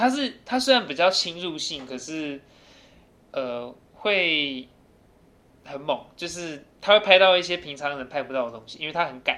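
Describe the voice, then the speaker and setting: A man with a bright, sharp tone and fairly high pitch speaks at a moderate pace, with lively intonation. His loudness swings a lot, and he takes long, frequent pauses. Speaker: university student. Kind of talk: casual chat.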